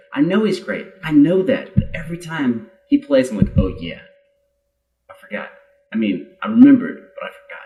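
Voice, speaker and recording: Over music in the background, a high-pitched man speaks at a moderate pace with very wide pitch swings and big swings in loudness. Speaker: guitar teacher reacting to music videos. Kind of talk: casual reaction video commentary. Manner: animated.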